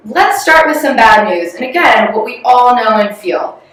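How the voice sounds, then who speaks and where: A woman with an American accent at a moderate pace, very wide pitch swings, audible room echo and noticeable background noise. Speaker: corporate strategy executive. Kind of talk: corporate presentation.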